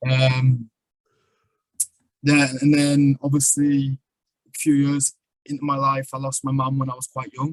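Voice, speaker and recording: A man in a strong northeast English accent, somewhat breathy and monotone, at a fairly slow pace with long, frequent pauses and big swings in loudness, in a dry, close sound with no echo. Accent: strong northern English (North East). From northern England (Sunderland, North East). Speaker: poet and traveller. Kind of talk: podcast interview, life story. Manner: casual, many fillers.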